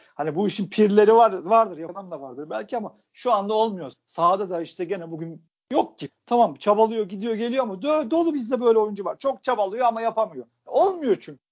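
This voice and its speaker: Pitched high, a man talks with lively intonation and hardly any pauses. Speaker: football podcast co-host. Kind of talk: casual chat. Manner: animated.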